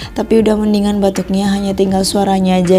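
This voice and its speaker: There is audible room echo along with noticeable background noise. A woman's voice sits at a medium pitch within it. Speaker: homemaker vlogger. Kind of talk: voice-over narration. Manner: casual, chatty.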